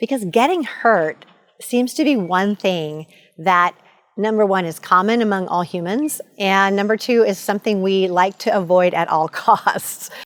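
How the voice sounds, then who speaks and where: A woman speaks in a plain, everyday voice at a medium pitch, with ordinary pitch variation. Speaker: motivational coach. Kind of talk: motivational talk to camera.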